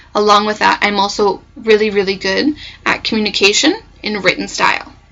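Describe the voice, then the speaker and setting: A woman with a Canadian accent speaks at a medium pitch and a moderate pace. Her voice has vocal fry and ordinary pitch variation. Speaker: nursing program applicant. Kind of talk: mock job interview answers. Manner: halting.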